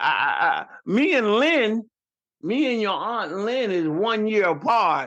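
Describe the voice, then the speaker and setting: In a Southern US accent, a man talks at a very slow pace. His high-pitched voice has a bright, sharp tone and very wide pitch swings. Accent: Southern country. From Rochester, New York, with Southern family roots. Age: 50s. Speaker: podcast guest, host's father. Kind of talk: casual chat. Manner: halting, repetitive.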